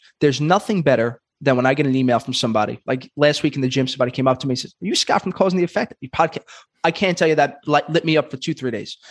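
In a New York accent, a man rattles along at a very fast pace and fairly high pitch with ordinary pitch variation, the sound dry and close with no echo. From Brooklyn, New York. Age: 30s. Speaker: podcast host and comedian. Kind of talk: casual interview.

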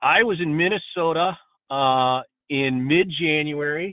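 Here a man talks at a fairly slow pace with an American accent. His is a plain, everyday voice with ordinary pitch variation. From Pittsburgh, Pennsylvania. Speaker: construction executive. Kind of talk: interview.

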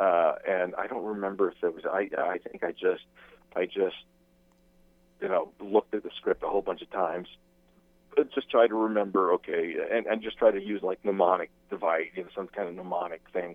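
The man speaks at a fairly quick pace. His loudness swings a lot. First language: Spanish. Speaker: actor. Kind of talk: interview. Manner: halting.

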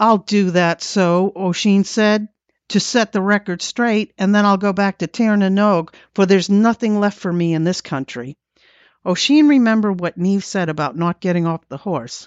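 The voice carries a warm, animated tone at a moderate pace with ordinary pitch variation. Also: woman, medium pitch for a woman. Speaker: podcast host. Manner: warm, animated storyteller, dramatic pacing with wry asides.

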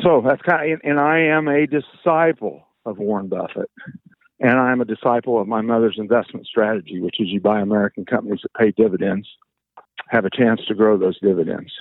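Lively intonation at a fairly quick pace, with a Midwestern US accent. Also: man, medium pitch for a man. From Kansas, small town. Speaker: financial advisor. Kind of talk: casual chat.

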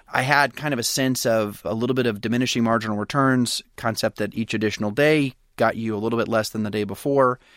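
In a very clean recording with a silent background, a man with an American accent and an ordinary speaking voice speaks at a medium pitch with fairly even intonation, the sound dry and close with no echo. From US South, Pensacola, Florida. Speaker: startup founder. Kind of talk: interview.

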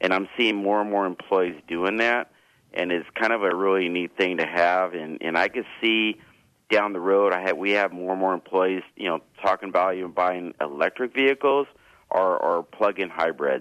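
Moderate pace and ordinary pitch variation from a man with a very deep, low voice. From Southern California, El Monte. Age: 50s. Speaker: school district administrator. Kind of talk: radio interview.

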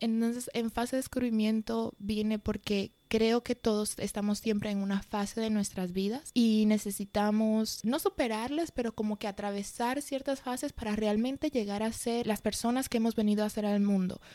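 Recorded dry and close with no echo, a woman with a fairly high pitch and a dark, mellow tone talks with hardly any pauses. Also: fairly even intonation, moderate pace. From Madrid, Spain. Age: 20s. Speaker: podcaster. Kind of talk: casual monologue.

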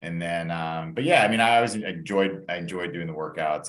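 Audible room echo surrounds a man with a very deep, low pitch and an American accent, who speaks at a fairly quick pace with ordinary pitch variation. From Atlanta, Georgia, US South. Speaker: coaching client, lawyer. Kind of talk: interview.

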